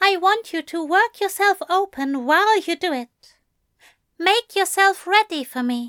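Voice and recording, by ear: A woman performs a put-on character voice at an extremely high pitch, with a bright, sharp tone and a fairly slow pace. The sound is dry and close with no echo, in a very clean recording with a silent background. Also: lively intonation.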